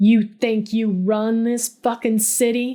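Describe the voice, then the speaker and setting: A woman does a put-on character voice, fairly high in pitch and hissing. She speaks at a fairly slow pace with monotone, flat intonation. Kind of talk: coarse, profane. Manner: hissing, menacing.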